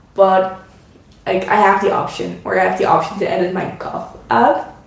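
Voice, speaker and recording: In a Dutch accent, a woman speaks at a fairly slow pace. Noticeable background noise and audible room echo are present. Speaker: craft YouTuber. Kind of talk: casual chat. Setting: live stream at home. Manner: halting.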